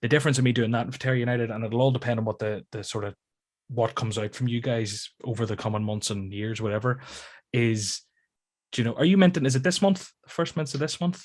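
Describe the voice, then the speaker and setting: At a very fast pace, a man with a Northern Irish accent speaks in a somewhat breathy voice of medium pitch and ordinary pitch variation, in a very clean recording with a silent background. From Northern Ireland, near Belfast. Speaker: YouTube content creator. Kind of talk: casual chat.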